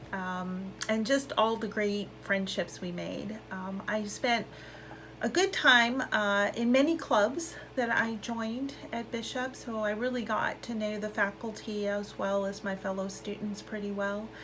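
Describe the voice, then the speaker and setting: Audible room echo and noticeable background noise surround a woman speaking at a fairly high pitch. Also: fairly even intonation, fairly slow pace. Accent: American. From US West Coast, South Bay, Los Angeles area. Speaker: school alumna speaker, scientist. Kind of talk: personal testimony talk. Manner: casual with frequent fillers.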